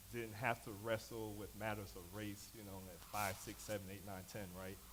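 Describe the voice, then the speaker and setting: A man with an American accent speaks at a moderate pace and fairly low pitch, in a flat monotone, with audible room echo. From Knoxville, Tennessee (US South), New York roots. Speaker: panelist at church discussion evening. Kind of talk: personal story in panel discussion.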